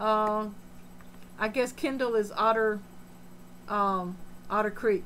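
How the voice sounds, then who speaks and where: A woman speaks with a fairly high pitch. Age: 60s. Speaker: aquarium hobbyist live streamer. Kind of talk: live stream chat, reading comments. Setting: home fish room.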